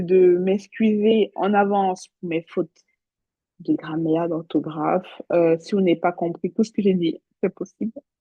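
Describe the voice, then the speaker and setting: The woman speaks at a medium pitch and a fairly slow pace. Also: fairly even intonation. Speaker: nursing exam tutor. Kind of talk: recorded live revision session. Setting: talking to a computer alone. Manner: mumbles words at times.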